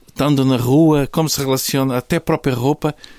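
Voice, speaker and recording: A man with a normal speaking voice, medium pitch and moderate pace, in a dry, close sound with no echo and a very clean recording with a silent background. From Portugal, Algarve (Faro). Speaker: podcast host, nutrition school academic. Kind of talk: conversational interview.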